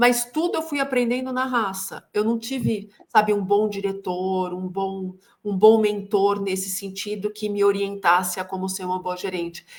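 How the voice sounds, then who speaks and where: A woman of medium pitch speaks with hardly any pauses, her pitch moving in an ordinary way. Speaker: sales consultant and executive coach. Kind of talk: interview. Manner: slow, measured pace.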